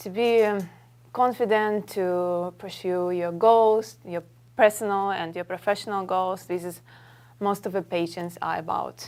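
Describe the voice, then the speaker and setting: Heard on a very clean recording with a silent background, a woman with medium pitch and a Russian accent speaks at a fairly slow pace with fairly even intonation. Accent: Russian accent, clear. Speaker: model and actress. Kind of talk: talk show interview. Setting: studio with audience.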